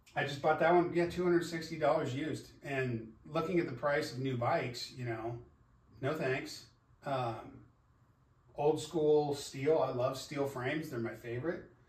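Fairly even intonation comes through with audible room echo. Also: man, moderate pace. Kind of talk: casual vlog chat. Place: garage. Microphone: camera far.

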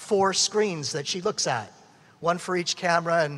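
This man's voice is high in pitch, with ordinary pitch variation. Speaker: event announcer or host. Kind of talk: announcements to an audience. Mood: humorous, upbeat. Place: hall. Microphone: podium.

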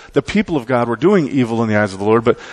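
This voice belongs to a man. He talks at a very fast pace. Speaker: preacher. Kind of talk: sermon. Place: church.

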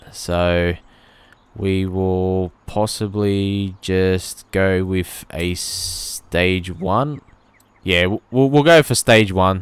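In an Australian accent, a man with a very deep, low pitch and ordinary pitch variation speaks at a very slow pace on a very clean recording with a silent background. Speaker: automotive YouTuber and car sound impersonator. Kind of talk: gameplay commentary vlog. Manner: casual, frequent filler words.

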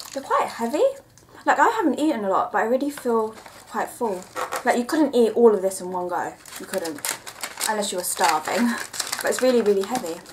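Over noticeable background noise, the speech runs at a fairly quick pace with lively intonation. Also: woman. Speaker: vlogger. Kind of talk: casual vlog chat, product review. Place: home room. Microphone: camera far.

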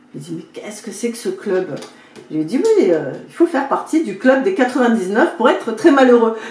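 A woman's high voice with very wide pitch swings, big swings in loudness and audible room echo. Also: moderate pace. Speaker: video creator and spiritual coach. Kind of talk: fable storytelling, retelling a parable. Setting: home video, talking to camera. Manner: animated, dramatic, playing the king and servant; chatty, informal, with comic asides. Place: home room.

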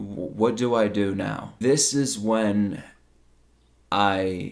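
Over a quiet background, a man speaks at a fairly low pitch. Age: 20s. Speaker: YouTuber and streamer; YouTuber, streamer. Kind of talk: personal testimony monologue. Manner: emotional, unscripted. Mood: reflective, vulnerable. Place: home room.

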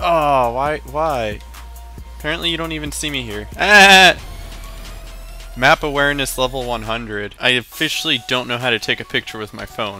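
With lively intonation and long, frequent pauses, a man speaks in a dry sound with no echo as music plays in the background. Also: moderate pace. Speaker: gaming commentator. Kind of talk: casual gameplay commentary. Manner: casual, excitable. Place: home room. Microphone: headset.

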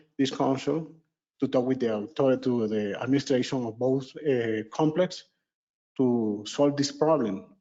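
A man speaks at a medium pitch with ordinary pitch variation and a Venezuelan accent. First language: Spanish. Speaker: resident giving public comment. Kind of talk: public comment. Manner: halting non-native speech.

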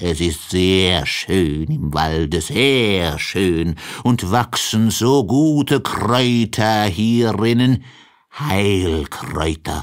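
A man's put-on character voice, low in pitch, very slow with few pauses and lively intonation

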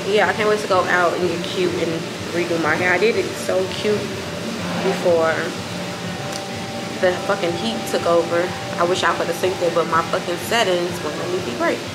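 A woman speaks at a fairly quick pace with music in the background. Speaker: vlogger. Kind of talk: casual vlog chat. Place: street. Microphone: phone near.

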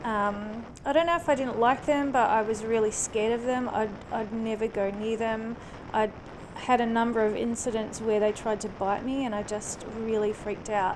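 With noticeable background noise, a woman speaks at a moderate pace with fairly even intonation. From New Zealand. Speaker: motorcycle vlogger. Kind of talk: casual motovlog talk to camera. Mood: warm, personal storytelling. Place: motorbike. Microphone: helmet.

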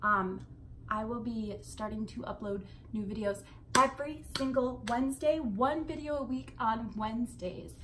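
At a moderate pace, a woman speaks with a fairly high pitch, ordinary pitch variation and a fairly bright tone.

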